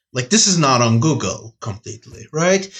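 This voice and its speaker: At a moderate pace, a man talks in a somewhat breathy voice full of very wide pitch swings. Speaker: podcast co-host. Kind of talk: casual chat.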